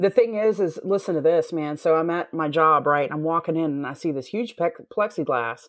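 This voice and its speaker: In a Southern US accent, a woman speaks at a moderate pace with a fairly low pitch. Her pitch variation is ordinary, and the background is quiet. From US South. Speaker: X-ray technician. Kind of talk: casual chat.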